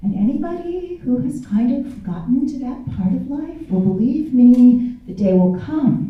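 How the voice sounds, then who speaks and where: With an American accent, a woman speaks at a fairly slow pace, her fairly high pitch making very wide pitch swings. Audible room echo and noticeable background noise surround her. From US Midwest, Kansas City. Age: 60s. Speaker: inspirational speaker and author. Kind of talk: speech to a festival audience. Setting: stage with audience. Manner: animated.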